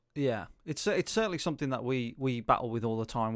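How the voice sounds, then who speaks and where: A man speaks with a British accent. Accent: regional British accent, noticeable. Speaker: video production company owner. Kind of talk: casual chat. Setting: video call.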